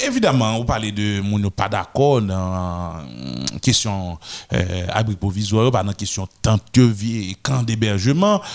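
The speaker has an ordinary speaking voice and a moderate pace. Pitch variation is ordinary. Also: man, fairly low pitch for a man. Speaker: radio host. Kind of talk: morning radio show.

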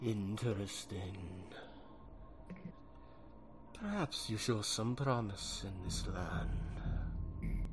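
A man's put-on character voice, fairly low in pitch, very slow, with long, frequent pauses over loud background noise. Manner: ominous.

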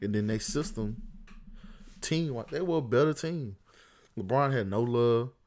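Recorded very cleanly with a silent background, a man speaks at medium pitch and a moderate pace. His intonation is lively, broken by long, frequent pauses. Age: 30s. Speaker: essential worker, podcast guest. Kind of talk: casual chat.

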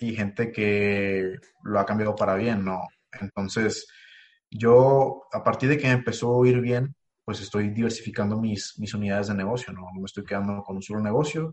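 The man has an unremarkable speaking voice with a fairly low pitch. He speaks at a moderate pace with fairly even intonation. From Mexico, Ensenada, Baja California. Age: 20s. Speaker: entrepreneur. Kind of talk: casual interview.

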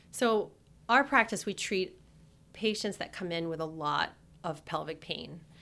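Slow-paced and full of long, frequent pauses, a woman speaks with an American accent. Her medium-pitched voice has a bright, sharp tone and lively intonation. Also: very clean recording, silent background. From New Jersey. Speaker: pelvic health physical therapist, clinic director. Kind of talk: interview. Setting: in a physical therapy clinic.

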